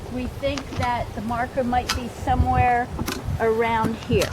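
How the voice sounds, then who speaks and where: Speaking at a very slow pace, a woman is heard over noticeable background noise with audible room echo. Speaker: homeowner. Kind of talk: casual narrated video tour. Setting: outdoors.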